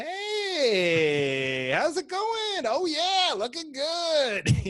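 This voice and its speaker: A put-on character voice with a high pitch. It moves at a very slow pace. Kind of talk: casual, friendly. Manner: exaggerated.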